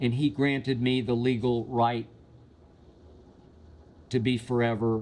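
A man is speaking. His pace is very slow. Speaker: show host. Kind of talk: storytelling answer to viewer question. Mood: wry, relaxed. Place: studio. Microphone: studio mic.

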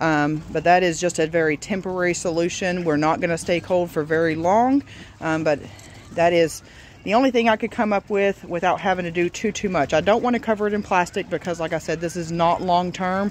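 Over light background noise, a woman speaks fairly quickly at a fairly low pitch with ordinary pitch variation, the sound dry with no echo. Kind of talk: casual vlog chat. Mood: calm, practical. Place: garden. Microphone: phone near.

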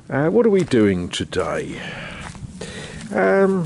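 Very wide pitch swings stand out in a dry sound with no echo and light background noise. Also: man. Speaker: homeowner vlogger. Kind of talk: casual vlog chat. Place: garden. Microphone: phone near.

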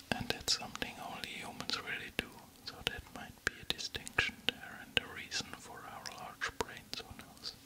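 Whispering, a man keeps his words soft. He goes at a fairly slow pace. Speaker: relaxation video host. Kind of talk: soft-spoken fact reading. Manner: intimate whisper, ear to ear. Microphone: studio mic.

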